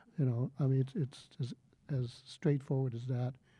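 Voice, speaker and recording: A man with a dark, mellow, somewhat breathy tone speaks at a fairly slow pace on a very clean recording with a silent background. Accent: Californian. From San Francisco Bay Area, US. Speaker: poet. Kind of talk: panel talk. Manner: halting.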